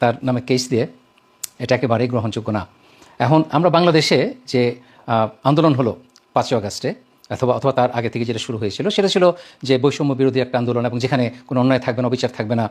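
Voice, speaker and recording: This man has a plain, everyday voice at medium pitch. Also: ordinary pitch variation. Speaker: lawyer. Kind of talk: video statement of protest.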